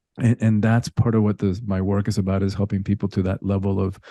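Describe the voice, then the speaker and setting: A man speaks at a fairly quick pace in a fairly low, dark, mellow voice with monotone, flat intonation. The sound is dry and close with no echo, over a quiet background. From Cuba, then rural Georgia and Miami, US. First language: Spanish. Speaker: spiritual teacher and coach. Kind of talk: interview conversation.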